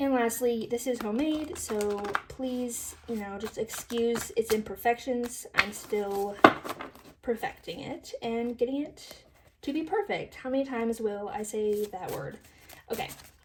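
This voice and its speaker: A woman mumbles at a fairly slow pace with lively intonation. Noticeable background noise runs through the clip. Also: fairly high pitch for a woman. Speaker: tarot reader. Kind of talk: tarot reading to camera. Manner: mumbling.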